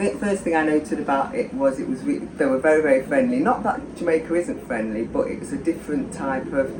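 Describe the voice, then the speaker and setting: The speech comes at a fairly quick pace against noticeable background noise. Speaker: expat guest. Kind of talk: interview storytelling.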